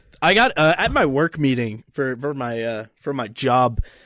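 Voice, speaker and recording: A man's fairly high voice in a strong Philadelphia accent, with a dry, close sound and no echo. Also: very clean recording, silent background. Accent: Philadelphia accent, more pronounced. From Philadelphia, US Northeast. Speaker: podcast host. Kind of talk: casual banter podcast chat. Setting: recording in Colorado.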